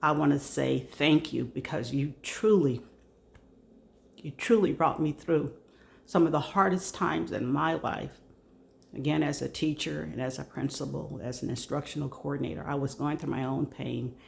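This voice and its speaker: At a moderate pace, a woman speaks with a very deep, low pitch. Her pitch varies in an ordinary way. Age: 60s. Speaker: retired educator, personal vlogger. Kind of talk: personal testimony vlog. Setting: at home, video. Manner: halting, many fillers.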